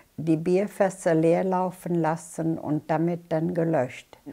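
A woman speaks at a very slow pace in a fairly low pitch with a dark, mellow tone. Her intonation stays fairly even over a quiet background. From Bonn, Germany. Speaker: war eyewitness. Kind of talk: interview answer. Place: home room. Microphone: lapel.

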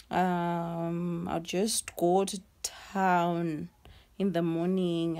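A woman speaks with a dark, mellow tone at a fairly low pitch. Her intonation stays flat and monotone. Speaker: vlogger. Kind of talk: casual vlog chat. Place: home room. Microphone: phone near.

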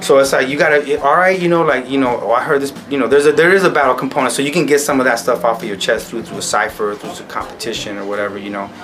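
A man speaks fast at a medium pitch, with few pauses and fairly even intonation. His tone is fairly bright, and there is faint background noise.

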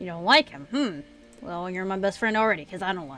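A female-sounding, put-on character voice at a middle pitch delivers a grumpy, whiny tone at a fairly quick pace. It sounds whiny, with faint music in the background. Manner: sarcastic, grumpy, whiny.

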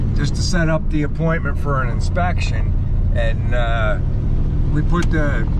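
Loud background noise fills a dry recording with no echo. The speech moves at a moderate pace. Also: man. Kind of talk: casual vlog chat. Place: car. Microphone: phone near.

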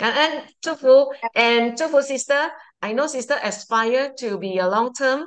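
A woman at a fairly slow pace over a quiet background. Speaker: Dharma talk host. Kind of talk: hosting. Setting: video call. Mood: warm, grateful. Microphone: video call.

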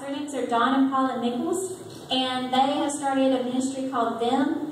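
A moderate pace, with light background noise and audible room echo. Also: woman. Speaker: presenter. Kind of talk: church presentation talk. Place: church.

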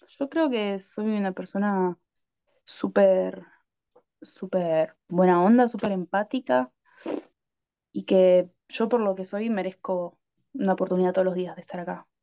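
Speaking in a Rioplatense accent at a fairly slow pace, a woman with a dark, mellow tone and ordinary pitch variation leaves long, frequent pauses against a quiet background. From Argentina. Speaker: adult content creator. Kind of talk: interview. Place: home room. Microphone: video call.

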